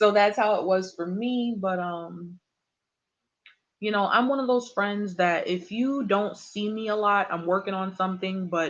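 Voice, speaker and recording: She has a plain, everyday voice at a medium pitch, speaking at a moderate pace with ordinary pitch variation. The woman's loudness swings widely against a quiet background. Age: 20s. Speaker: tarot reader. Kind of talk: live stream chat. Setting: live stream. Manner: casual.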